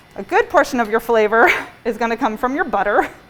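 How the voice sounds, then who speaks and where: Over noticeable background noise, a woman with a fairly high voice talks at a moderate pace. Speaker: pastry chef and bakery owner. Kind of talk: cooking demonstration class. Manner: soft-spoken; mumbling. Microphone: muffled by face mask.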